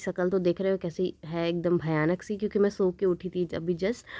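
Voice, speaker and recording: A woman speaks at a medium pitch with a dark, mellow tone. Her pace is moderate. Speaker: vlogger. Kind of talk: travel vlog narration.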